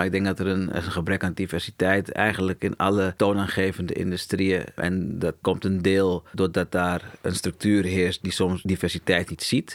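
A man speaks in a very deep, low, monotone voice at a moderate pace with hardly any pauses. The sound is dry and close with no echo, in a very clean recording against a silent background. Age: 40s. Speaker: agency co-founder. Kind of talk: interview.

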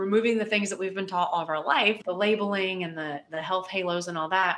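With an American accent, a woman speaks in a normal speaking voice at medium pitch with fairly even intonation. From West Virginia. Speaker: dietitian. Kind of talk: casual interview chat.

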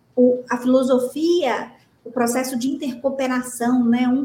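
High female speech carrying a dark, mellow tone. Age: 30s. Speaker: company director and author. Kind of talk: podcast interview.

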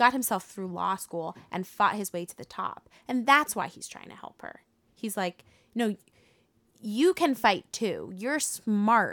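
A woman with an American accent in an ordinary speaking voice, fairly high pitched and fairly slow, with lively intonation and big swings in loudness. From Connecticut, US. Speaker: actor and singer. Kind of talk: casual chat.

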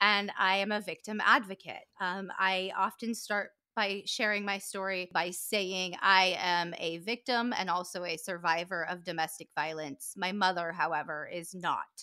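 A woman with an American accent talks at a fairly slow pace, her medium pitch carrying a bright, sharp tone. The recording is very clean, with a silent background. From US West Coast, southern California. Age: 30s. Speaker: author, podcaster and victim advocate. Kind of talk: personal testimony in interview.

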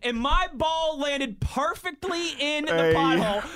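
A man's voice, raised and projected, sits at an extremely high pitch. His pitch swings very widely. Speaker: sports radio co-host.

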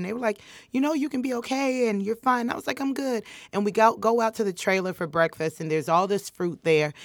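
Speaking with an American accent, a woman talks at a very fast pace with very wide pitch swings. The recording is very clean, with a silent background. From Chicago, US Midwest. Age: 20s. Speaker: comedian. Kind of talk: casual chat. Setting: studio.

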